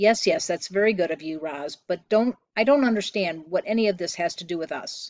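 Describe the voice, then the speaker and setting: A gruff, put-on character voice at a middle pitch and a fairly quick pace. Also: female-sounding voice. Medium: read story. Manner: gruff, muttering.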